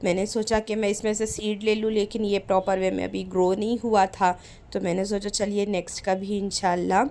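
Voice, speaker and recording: A woman's monotone, flat delivery with hardly any pauses. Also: medium pitch for a woman, moderate pace. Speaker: vlogger. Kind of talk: travel vlog narration.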